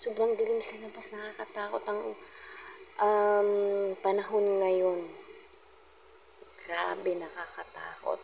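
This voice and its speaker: A soft-spoken woman talks at a very slow pace with long, frequent pauses and big swings in loudness, over noticeable background noise. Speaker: vlogger. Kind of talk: casual vlog narration.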